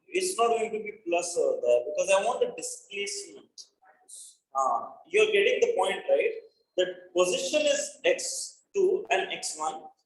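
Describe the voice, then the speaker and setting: Audible room echo follows a man as he talks fairly slowly. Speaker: physics teacher. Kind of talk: online lecture. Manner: quiet.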